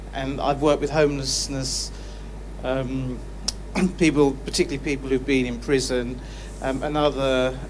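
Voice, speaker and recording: Over noticeable background noise, a man with a southern English accent talks at a moderate pace with long, frequent pauses. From southern England. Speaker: charity founder, audience member. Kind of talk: public Q&A comment. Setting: live studio audience Q&A.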